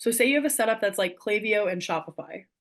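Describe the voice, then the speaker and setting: Against a quiet background, a woman talks in an animated tone at a fairly high pitch. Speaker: email marketing specialist. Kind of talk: webinar presentation. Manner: fast; casual, animated.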